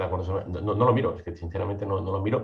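A man speaks in a somewhat breathy voice with a fairly low pitch. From Catalonia (Mataró, near Barcelona). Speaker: legal tech entrepreneur, licensed lawyer. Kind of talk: podcast interview.

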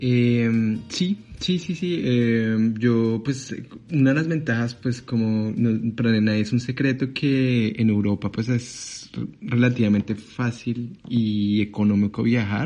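Here a man talks at a very slow pace. His pitch is medium, with ordinary variation. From Colombia, Bogotá. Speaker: international student. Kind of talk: interview. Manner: halting, repeats words.

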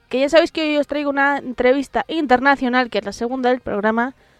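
Her intonation stays fairly even. The recording is dry and close, without any echo. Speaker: metal podcast host. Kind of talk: casual radio-style presenting.

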